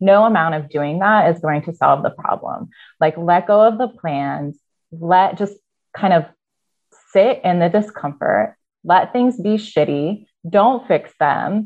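Speaking fairly slowly with lively intonation, a woman with a Midwestern American accent keeps to a medium pitch. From US Midwest (Iowa). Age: 30s. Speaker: university program leader and hospice volunteer. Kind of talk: interview.

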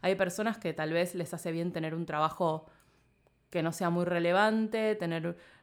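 On a very clean recording with a silent background, a woman with a fairly low pitch speaks in a Rioplatense accent at a moderate pace, her intonation fairly even. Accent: Argentine Rioplatense Spanish. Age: 30s. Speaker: podcast producer and journalist. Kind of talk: casual interview.

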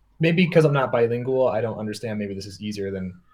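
A man talks at a medium pitch with ordinary pitch variation. His voice is somewhat breathy. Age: 30s. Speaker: music producer and sample library developer. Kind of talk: casual chat. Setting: video call.

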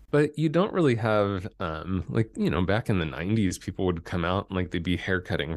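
Over a quiet background, a man with a very deep, low pitch talks at a fairly quick pace with lively intonation. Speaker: breathwork and speaking coach, former hairdresser. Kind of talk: interview conversation. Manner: sometimes drops low into vocal fry.

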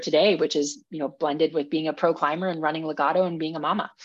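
In a normal speaking voice, a woman with an American accent talks at a fairly low pitch with fairly even intonation against a quiet background. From Minnesota. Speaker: professional climber and author. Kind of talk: interview.

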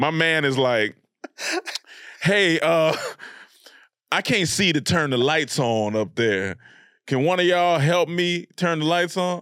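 A man with a fairly high pitch speaks fairly slowly, leaving long, frequent pauses. His tone is animated, with lively intonation and very even loudness. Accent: Southern US. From US South, North Carolina (Raleigh-Durham). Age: 30s. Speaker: comedian and YouTube creator. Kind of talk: casual interview chat.

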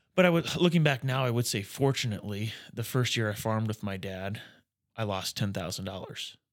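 In a very clean recording with a silent background, a man with an American accent and a normal speaking voice talks fairly quickly at a medium pitch, his intonation lively. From rural Nebraska. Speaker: financial planner. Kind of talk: casual chat.

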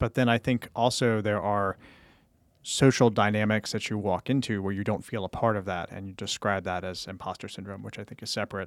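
A man's fairly low-pitched, normal speaking voice at a fairly quick pace, with fairly even intonation and big swings in loudness, dry and close with no echo, in a very clean recording with a silent background. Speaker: physician and professor. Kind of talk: casual chat.

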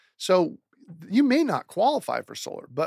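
A man talks with an American accent and lively intonation. The sound is dry and close with no echo, on a very clean recording with a silent background. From US Pacific Northwest, Seattle. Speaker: solar advisor. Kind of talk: radio interview.

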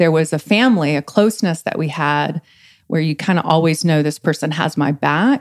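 A woman with an American accent, very deep and low in pitch, at a moderate pace with ordinary pitch variation, in a dry, close sound with no echo. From East Texas. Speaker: relationship coach. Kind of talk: casual chat.

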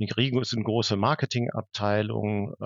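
A man talks with fairly even intonation in a fairly low voice. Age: 40s. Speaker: HR director. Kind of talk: interview. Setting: video call. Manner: halting, many fillers.

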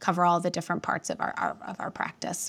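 On a very clean recording with a silent background, a woman with a fairly low pitch speaks in an American accent. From US Midwest, northwest Indiana near Chicago. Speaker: accounting firm advisory executive. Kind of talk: interview.

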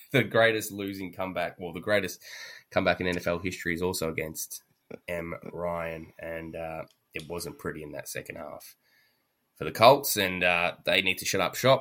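A man with a very deep, low voice and an Australian accent speaks at a moderate pace in a bright, sharp tone, with ordinary pitch variation and big swings in loudness, on a very clean recording with a silent background. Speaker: sports podcast host. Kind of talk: casual chat.

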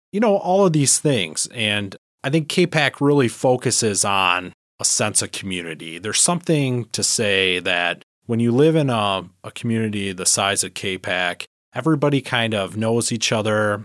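A man talks at a moderate speed with lively intonation. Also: medium pitch for a man. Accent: Upper Midwest. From Michigan, the Thumb area. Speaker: village manager. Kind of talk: interview. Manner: halting, filler-heavy.

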